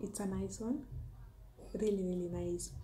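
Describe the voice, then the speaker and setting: A somewhat breathy woman's voice in a Kenyan accent, dark and mellow in tone, over light background noise. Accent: Kenyan (Luo) English. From Kenya, Homa Bay County. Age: 20s. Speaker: food and lifestyle YouTuber, teacher. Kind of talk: casual vlog Q&A monologue. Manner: hesitant, many fillers. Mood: cheerful, smiling. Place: home room. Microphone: phone near.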